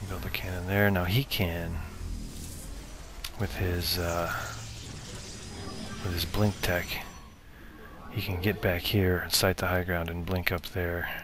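A man with a very deep, low pitch speaks with fairly even intonation and long, frequent pauses. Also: fairly slow pace. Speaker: gamer commentating own match. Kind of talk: live game commentary.

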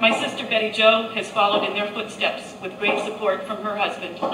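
Fairly quick, flat, monotone speech from a woman, with audible room echo and noticeable background noise. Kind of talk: ceremony speech. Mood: grateful, formal. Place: tent. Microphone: camera far.

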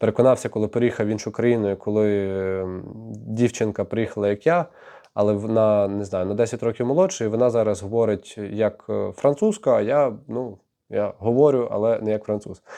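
Over a quiet background, a man speaks at a moderate pace in a fairly low voice with a dark, mellow tone and fairly even intonation. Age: 20s. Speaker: YouTuber. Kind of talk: vlog monologue.

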